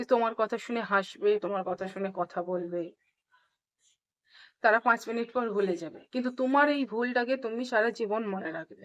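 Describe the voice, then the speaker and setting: There is a quiet background as a woman speaks in an unremarkable speaking voice. Her pitch is fairly high, with ordinary pitch variation. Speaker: English teacher. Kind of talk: tutorial.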